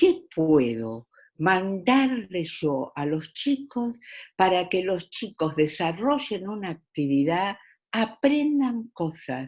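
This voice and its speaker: Very wide pitch swings in a woman's very slow, medium-pitched speech. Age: 70s. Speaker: education specialist. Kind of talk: interview. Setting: video call. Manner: hesitant, many fillers.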